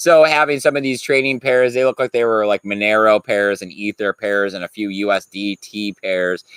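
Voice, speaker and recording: The speech runs with hardly any pauses, and the sound is dry and close with no echo. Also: man, fairly low pitch for a man, ordinary pitch variation. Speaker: crypto news streamer. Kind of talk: casual live stream commentary. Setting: live stream with chat. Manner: fast.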